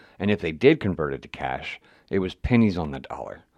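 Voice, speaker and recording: A man's very deep, low voice with vocal fry, over a quiet background. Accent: American. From West Virginia. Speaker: podcast host. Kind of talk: editorial monologue. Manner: casual, profane.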